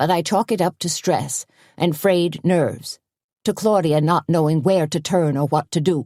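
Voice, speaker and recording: A put-on character voice at a middle pitch and moderate pace, in a very clean recording with a silent background. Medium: read story. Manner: earnest.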